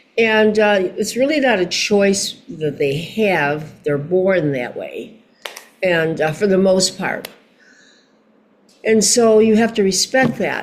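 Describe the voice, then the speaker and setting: Over noticeable background noise, a woman with an American accent talks at a very slow pace with lively intonation. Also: medium pitch for a woman. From Chicago, USA. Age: 80s+. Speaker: singer, actress and model. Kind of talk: interview answer.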